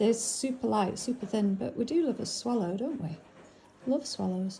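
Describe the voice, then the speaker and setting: A woman with a northern English accent speaks at a moderate pace. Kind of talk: casual unboxing chat. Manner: casual, hesitant with fillers.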